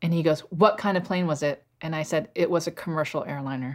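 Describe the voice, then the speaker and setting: A woman with a plain, everyday voice and an American accent, at a moderate pace with ordinary pitch variation, on a very clean recording with a silent background. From US, northern Virginia. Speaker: cinematographer. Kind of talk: casual interview conversation.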